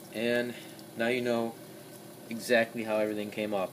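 A man's voice with fairly even intonation amid noticeable background noise. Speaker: DIY mechanic. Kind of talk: tutorial. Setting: home garage workshop. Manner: casual, halting. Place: workshop. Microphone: phone near.

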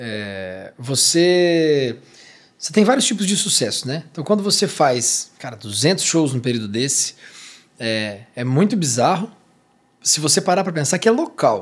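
Very wide pitch swings from a man speaking fairly slowly. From interior of São Paulo state, Brazil. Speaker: podcast host. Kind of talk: casual interview. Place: studio. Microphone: studio mic.

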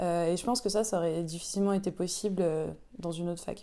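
Her voice is medium in pitch with a dark, mellow tone. The woman's intonation is fairly even. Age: 20s. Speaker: arts production manager. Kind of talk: interview testimony. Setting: chapel. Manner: hesitant, many fillers. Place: office. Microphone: lapel.

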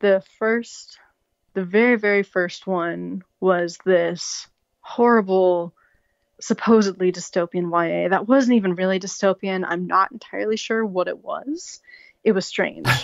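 In an American accent, a woman with an ordinary speaking voice talks at a fairly slow pace, her medium pitch showing ordinary pitch variation. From US Pacific Northwest, Seattle. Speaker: author. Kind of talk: interview.

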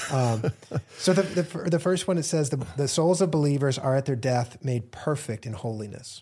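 This man's fairly high voice is somewhat breathy, with a dark, mellow tone. His intonation is lively. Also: moderate pace. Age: 40s. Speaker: pastor and book co-author. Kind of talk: casual theological discussion.

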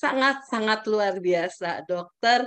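Over a quiet background, a woman talks very slowly in a fairly high voice with lively intonation. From Indonesia. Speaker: webinar moderator. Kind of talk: formal moderation. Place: home room. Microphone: video call.

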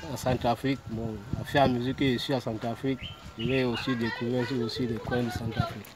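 This man talks at a moderate pace in a flat monotone. The sound is dry with no echo, and background noise is noticeable. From Cameroon, South-West Region (Buea/Limbe). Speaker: street fruit vendor. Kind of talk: interview. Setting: outdoors. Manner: halting. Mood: relaxed, friendly. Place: street. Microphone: phone near.

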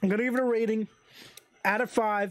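The background is quiet while a man speaks. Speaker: channel host reviewer. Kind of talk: casual review commentary. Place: home room. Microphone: studio mic.

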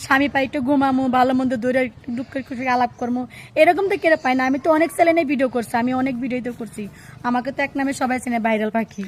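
High pitch from a woman, carrying ordinary pitch variation. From Bangladesh, Sirajganj. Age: 20s. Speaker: interviewee seeking a husband. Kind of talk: interview. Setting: on camera.

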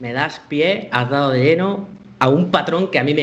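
At a moderate pace, a man speaks with a fairly high pitch. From Spain, Málaga; Spain. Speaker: computer science teacher and developer; computer science teacher. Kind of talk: conference talk. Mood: relaxed, humorous. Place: home room. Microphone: headset.

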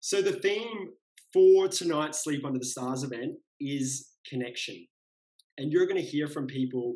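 Here a man speaks at a fairly slow pace. His tone is dark and mellow. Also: quiet background. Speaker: event host. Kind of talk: event hosting address. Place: home room. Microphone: webcam.

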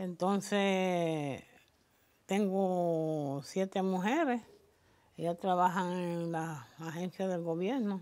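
A woman speaks at a very slow pace and a medium pitch. Her tone is dark and mellow. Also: ordinary pitch variation. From Puerto Rico, Culebra. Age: 70s. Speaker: interviewee in a community oral history. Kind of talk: oral history interview. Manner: halting, many repetitions and fillers.

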